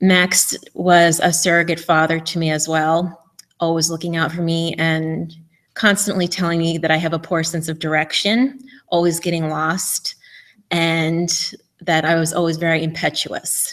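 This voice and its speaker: The speaker has a New York accent and a monotone, flat intonation. The recording is very clean, with a silent background. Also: woman, fairly low pitch for a woman, moderate pace. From New York, Eastern Long Island. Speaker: conference speaker. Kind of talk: memorial tribute.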